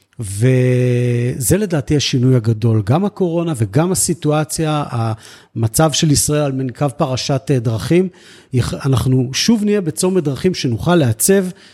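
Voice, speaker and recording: A man speaks at a fairly slow pace in a dark, mellow, somewhat breathy tone, with lively intonation, very even loudness, and a dry, close sound with no echo. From Israel, grew up on a kibbutz. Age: 40s. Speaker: senior civil servant for elderly services. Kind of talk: interview.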